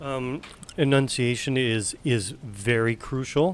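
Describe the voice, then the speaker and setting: A man speaks with a Western Canadian accent. His pitch varies in an ordinary way. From West Coast Canada. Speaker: game streamer. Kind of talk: casual chat.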